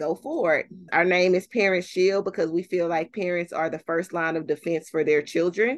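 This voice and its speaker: An unremarkable speaking voice from a woman, fairly low in pitch, with ordinary pitch variation at a moderate pace over a quiet background. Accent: American. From Texas, Fort Worth. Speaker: parent literacy advocate. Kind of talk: interview.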